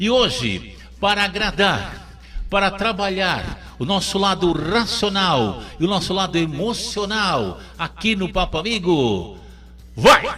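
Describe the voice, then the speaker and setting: Someone speaks in a raised, projected voice at a very slow pace, with ordinary pitch variation. Noticeable background noise sits behind the voice. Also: man, high pitch for a man. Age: 60s. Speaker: radio host. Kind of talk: talk show. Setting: radio studio. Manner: animated; halting.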